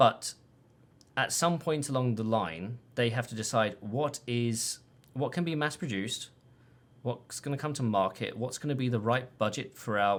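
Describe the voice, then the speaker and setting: The pitch rises and falls in an ordinary way. The speaker has a British accent. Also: man. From Britain. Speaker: tech analyst. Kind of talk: casual chat. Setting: live stream.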